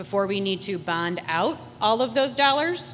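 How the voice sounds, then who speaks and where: A woman's intonation is lively over noticeable background noise. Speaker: school district administrator. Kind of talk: public meeting explanation. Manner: loud.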